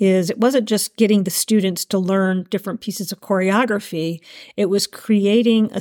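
Her tone is dark and mellow, and this woman's pitch sits in the medium range. She speaks at a moderate pace with ordinary pitch variation. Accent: American. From Asheville, North Carolina. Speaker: event director. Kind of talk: interview conversation.

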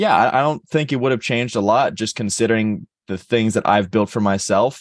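An unremarkable speaking voice from a man, fairly low in pitch and at a fairly quick pace, in a dry, close sound with no echo and a quiet background. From Texas, Dallas. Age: 20s. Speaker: college football player. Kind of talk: interview.

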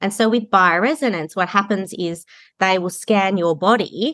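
A woman with an Australian accent speaks at a moderate pace, her pitch varying in an ordinary way against a quiet background. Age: 40s. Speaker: kinesiologist and healing practitioner. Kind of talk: podcast interview.

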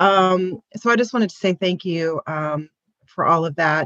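A woman speaks in a normal speaking voice at a moderate pace, with medium pitch and ordinary pitch variation. The sound is dry and close, with no echo. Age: 50s. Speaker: book club participant. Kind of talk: casual chat.

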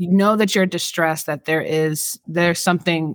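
With an American accent, a woman talks at a fairly quick pace in an ordinary speaking voice, her fairly low pitch carried on fairly even intonation, in a very clean recording with a silent background and a dry, close sound with no echo. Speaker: podcast host discussing mental health. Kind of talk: educational casual conversation.

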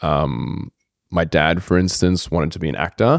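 In an Australian accent, a man with a very deep, low voice and vocal fry speaks at a moderate pace in a very clean, silent recording that sounds dry and close with no echo. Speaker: guest, host's fiancé, yoga practitioner. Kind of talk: casual conversation.

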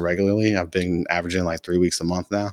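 Speaking at a very fast pace, a man with a very deep, low voice and an American accent keeps his intonation fairly even. The sound is dry and close with no echo, and the recording is very clean with a silent background. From US South (North Carolina). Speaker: entrepreneur. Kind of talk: casual interview chat. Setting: in-person studio.

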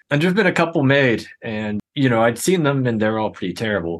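With an American accent, a man speaks at a fairly quick pace in a plain, everyday voice of medium pitch. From Pittsburgh, US. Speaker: filmmaker. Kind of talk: casual chat.

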